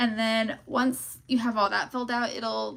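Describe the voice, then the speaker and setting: A woman's ordinary speaking voice, fairly high in pitch with ordinary variation, at a moderate pace. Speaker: online seller and e-commerce coach. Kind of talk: live stream Q&A. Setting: live stream. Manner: casual with many fillers.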